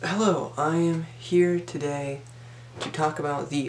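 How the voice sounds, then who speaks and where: Noticeable background noise sits behind a man's fairly high voice. He talks at a fairly slow pace with ordinary pitch variation. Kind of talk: casual talk to camera.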